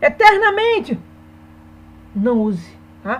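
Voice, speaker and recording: A woman speaks fairly slowly, with noticeable background noise around her. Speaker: Portuguese teacher. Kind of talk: online lesson.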